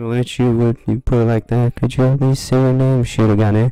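In a put-on character voice, a man mumbles at a fairly quick pace and medium pitch with monotone, flat intonation while music plays in the background. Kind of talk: let's play voice acting. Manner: mumbling, drowsy, awkward.

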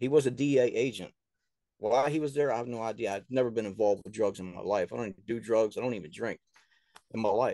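A man with an American accent talks at a very fast pace in a dark, mellow tone, with ordinary pitch variation and big swings in loudness. The sound is dry with no echo, and the background is quiet. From US South. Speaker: author and filmmaker. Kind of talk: casual interview. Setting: remote call. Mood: earnest, somewhat aggrieved. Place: home room. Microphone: video call.

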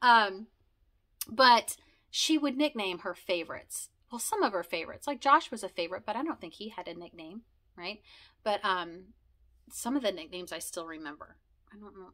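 Over a quiet background, a woman with a bright, sharp tone talks at a fairly quick pace with long, frequent pauses, very wide pitch swings and big swings in loudness. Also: medium pitch for a woman. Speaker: video blogger sharing conversion story. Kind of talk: casual monologue, personal storytelling. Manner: fast, talkative; rambling with many fillers. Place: home room.

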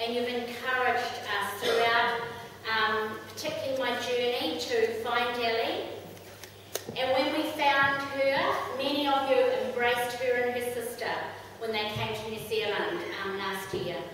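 A fairly slow pace and fairly even intonation, with strong room echo and light background noise. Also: woman, high pitch for a woman. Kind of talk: ceremony speech. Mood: grateful, emotional. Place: hall.

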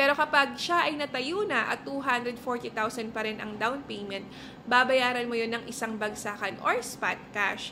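A fairly slow, animated voice with ordinary pitch variation comes through over light background noise. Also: woman, high pitch for a woman. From Philippines. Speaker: real estate agent. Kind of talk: tutorial. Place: home room. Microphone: phone near.

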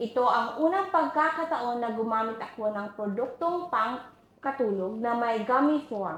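Over noticeable background noise and audible room echo, a woman speaks at a high pitch and a fairly slow pace with lively intonation. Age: 40s. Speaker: homemaker giving product testimonial. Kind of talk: testimonial.

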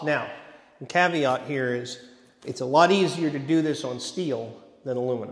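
Room echo is audible around a man's voice. His pitch varies in an ordinary way. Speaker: presenter. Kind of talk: lecture. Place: hall. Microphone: handheld.

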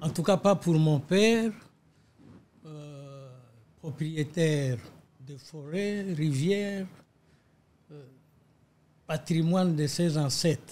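A dark, mellow tone at a very slow pace, with long, frequent pauses, ordinary pitch variation and big swings in loudness. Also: man, fairly high pitch for a man. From DR Congo. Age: 80s+. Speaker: lawyer and politician. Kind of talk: interview. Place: office. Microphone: studio mic.

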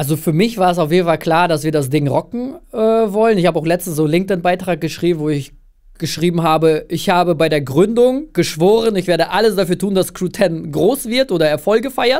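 Over a quiet background, a man with a high pitch speaks at a fairly quick pace, his loudness very even. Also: ordinary pitch variation. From Russia/Kazakhstan, moved to Germany at eight. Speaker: agency founder, filmmaker; podcast guest. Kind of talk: casual interview chat. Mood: relaxed, cheerful. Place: studio. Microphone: studio mic.

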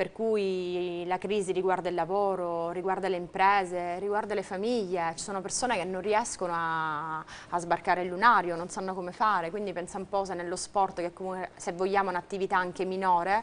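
A woman at a fairly quick pace, in a monotone with flat intonation. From Sicily. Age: 30s. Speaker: volleyball player; interviewee. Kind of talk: TV interview. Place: studio. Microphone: lapel.

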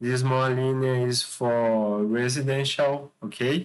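Very slow delivery with a Brazilian accent. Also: man. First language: Portuguese. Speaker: architect and video channel creator. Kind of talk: presentation / tutorial with screen demo. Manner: halting, hesitant, with frequent fillers. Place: home room. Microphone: webcam.

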